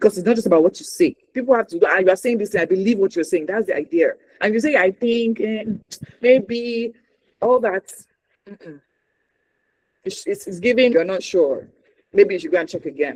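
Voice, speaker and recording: At a moderate pace, the speaker talks with a Nigerian accent and long, frequent pauses. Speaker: news anchor and communication trainer. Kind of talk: workshop talk. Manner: animated.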